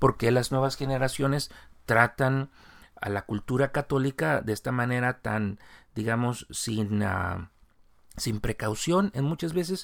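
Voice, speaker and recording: In a very clean recording with a silent background, a man speaks fairly slowly at a medium pitch with lively intonation. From Mexico. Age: 40s. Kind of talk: religious commentary monologue. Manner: improvised, with fillers.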